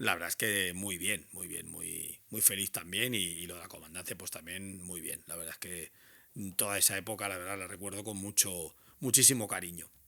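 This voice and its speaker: A man's very deep, low voice with a bright, sharp tone, big swings in loudness, fairly even intonation and a moderate pace, on a very clean recording with a silent background. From Balearic Islands, Spain. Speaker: radio presenter. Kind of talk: interview answer. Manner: hesitant, conversational.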